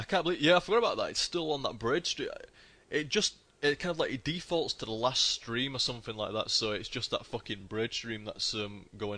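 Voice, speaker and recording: A man with a northern English accent talks at a fairly quick pace, his voice fairly high. His tone is bright and sharp, and his pitch swings very wide. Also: quiet background. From northern England. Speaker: gaming streamer. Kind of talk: casual live-stream commentary. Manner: casual, sweary and chatty.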